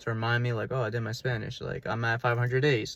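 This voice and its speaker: A man speaks with a New York accent. His voice is somewhat breathy. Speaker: language learning vlogger. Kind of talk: casual advice vlog. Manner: fast; casual, many fillers.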